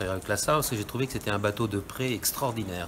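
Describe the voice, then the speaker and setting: Noticeable background noise sits behind a man's fairly low voice. His pitch variation is ordinary. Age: 70s. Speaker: catamaran sailor. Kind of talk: interview.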